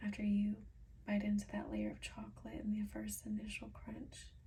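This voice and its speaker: A soft-spoken woman talks at a moderate pace. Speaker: ASMR creator. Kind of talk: ASMR product reading.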